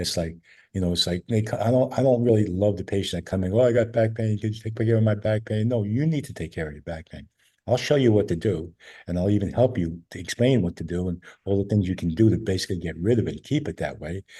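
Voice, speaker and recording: A man with a fairly low pitch speaks very fast in a somewhat breathy, dark, mellow tone against a quiet background. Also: ordinary pitch variation. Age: 70s. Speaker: chiropractor and functional medicine doctor. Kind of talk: interview. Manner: conversational with frequent fillers and repetitions.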